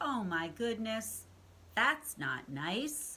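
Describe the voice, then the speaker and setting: A woman's put-on character voice, fairly high, with very wide pitch swings over clear background noise. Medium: read story.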